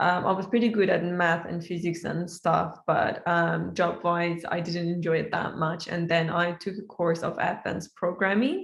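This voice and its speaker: A woman with an Iranian accent speaks at a moderate pace with hardly any pauses, in a monotone, flat, somewhat breathy voice. Audible room echo surrounds her. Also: fairly low pitch for a woman. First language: Persian. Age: 20s. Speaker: software engineer. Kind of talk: casual online interview. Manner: halting, many fillers.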